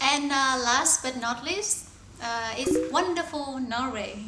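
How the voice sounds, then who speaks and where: Raising and projecting her voice over noticeable background noise, a woman with a Vietnamese accent speaks at a fairly slow pace, her pitch high with ordinary variation. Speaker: talk show co-host. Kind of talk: casual chat.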